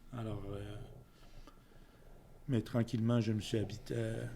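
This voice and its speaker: A man speaks at a fairly low pitch, his somewhat breathy voice dark and mellow in tone, with audible room echo around it. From Quebec (Quebec City area), then France (Orléans region) ages 7-17. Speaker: community volunteer, senior interviewee. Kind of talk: interview. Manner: halting, many fillers.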